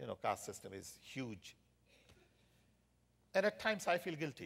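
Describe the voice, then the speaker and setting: A man talks at a moderate pace with vocal fry and a fairly high pitch. His loudness swings a lot and his pitch swings very widely. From India. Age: 60s. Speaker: technology entrepreneur and government adviser. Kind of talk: conference interview.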